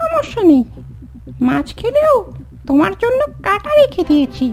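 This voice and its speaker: A squeaky, cartoonish character voice talks at a fairly slow pace. Music plays clearly in the background. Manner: cheeky, plaintive.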